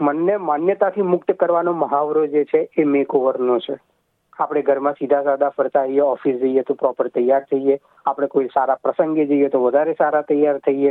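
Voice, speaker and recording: A man with a plain, everyday voice speaks at a fairly high pitch with fairly even intonation. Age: young. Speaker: writer and translator. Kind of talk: interview.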